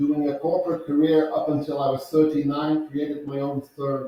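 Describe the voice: A man's fairly high voice in a Dutch accent, with little pitch movement, a moderate pace and audible room echo.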